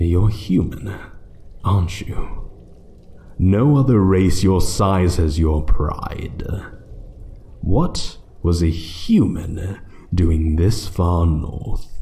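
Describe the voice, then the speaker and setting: Over light background noise, a man puts on a character voice with a very deep, low pitch and a very slow pace. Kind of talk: audio roleplay. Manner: slow, menacing, taunting.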